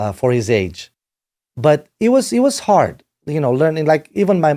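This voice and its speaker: In a Romanian accent, a dark, mellow voice speaks at a moderate pace on a very clean recording with a silent background. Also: man. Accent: Romanian accent, noticeable. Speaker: rock band manager and producer. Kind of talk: podcast interview. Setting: home studio.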